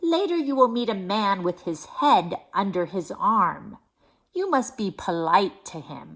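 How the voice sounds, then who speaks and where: A put-on character voice, female-sounding and medium in pitch, at a fairly slow pace. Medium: read story. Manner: calm, solemn.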